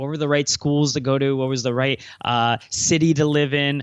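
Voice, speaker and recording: This man's voice sits at a medium pitch, and his intonation is flat and monotone. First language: Cantonese. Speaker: entrepreneur and speaker. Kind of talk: podcast interview. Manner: hesitant, many fillers.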